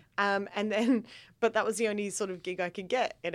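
A woman of medium pitch with an Australian accent talks at a fairly quick pace with ordinary pitch variation on a very clean recording with a silent background. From Australia, Adelaide. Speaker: comedian. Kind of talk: casual chat.

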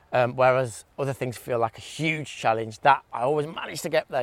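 With an English accent, a man talks at a fairly quick pace and a medium pitch, using ordinary pitch variation. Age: 30s. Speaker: DJ and music producer. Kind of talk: casual chat. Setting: outdoors.

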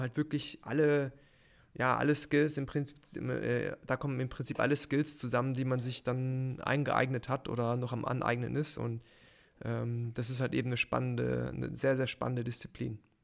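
The speech comes at a moderate pace with monotone, flat intonation, on a very clean recording with a silent background. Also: man. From Baden-Württemberg, near Heidelberg. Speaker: freelance motion designer. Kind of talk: casual interview. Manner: hesitant, many fillers.

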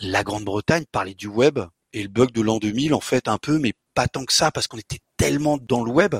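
A man talks at a moderate pace and a medium pitch, with lively intonation, in a normal speaking voice. The sound is dry and close, with no echo. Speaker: software developer and conference organizer. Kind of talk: interview.

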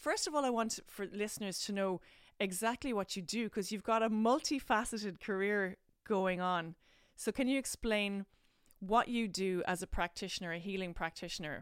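Here a woman with an Irish accent speaks at medium pitch and a moderate pace, with ordinary pitch variation. The recording is very clean, with a silent background. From Ireland. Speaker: podcast host, actor. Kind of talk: casual interview chat.

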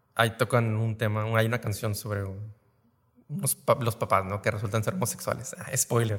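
This man's voice sits at a medium pitch and sounds somewhat breathy. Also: ordinary pitch variation, moderate pace. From Reynosa, Tamaulipas, northern Mexico. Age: 30s. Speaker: theatre co-founder, industrial engineer. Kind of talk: casual interview.

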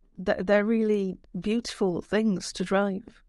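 In a Yorkshire accent, a woman speaks at a moderate pace. The background is quiet. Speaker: screenwriter. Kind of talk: interview. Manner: halting.

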